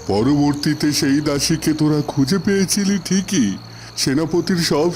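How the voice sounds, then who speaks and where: A man's cartoonish character voice, fairly high in pitch and fairly slow, over clear background noise. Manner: grave, slow, fatherly.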